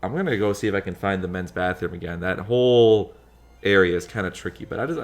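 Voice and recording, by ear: The voice reads aloud naturally, its pitch varying in an ordinary way.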